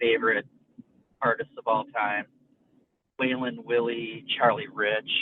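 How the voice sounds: A man speaks at a fairly slow pace, his pitch medium and moving little. The sound is dry and close, with no echo.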